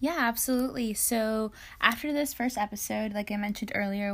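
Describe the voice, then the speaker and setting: With a normal speaking voice, a woman talks at a fairly quick pace, her medium pitch showing ordinary pitch variation. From Hialeah, Miami, Florida. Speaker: podcast co-host, product manager in tech. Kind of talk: casual chat.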